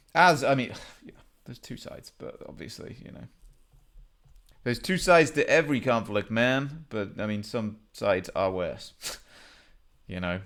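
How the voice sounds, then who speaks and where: A man speaks in a Welsh accent with vocal fry and lively intonation. His pace is moderate, broken by long, frequent pauses. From Wales. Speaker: geography game streamer. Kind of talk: gameplay commentary. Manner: casual, halting with many fillers.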